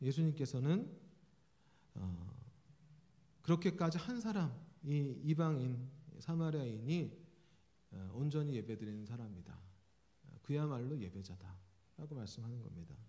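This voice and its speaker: A man's dark, mellow, somewhat breathy voice at medium pitch, with very wide pitch swings, big swings in loudness, a fairly slow pace, long, frequent pauses and audible room echo. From South Korea, Jeolla region. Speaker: pastor, preaching professor. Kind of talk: sermon. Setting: church. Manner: conversational, with frequent fillers.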